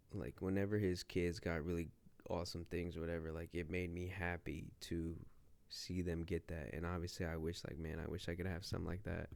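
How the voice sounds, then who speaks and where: A man with an American accent speaks at a fairly quick pace in a very deep, low voice. His intonation is flat and monotone, and the recording is very clean with a silent background. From Ohio, US. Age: 20s. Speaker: vlogger. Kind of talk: casual vlog monologue. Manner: filler-heavy, rambling speech.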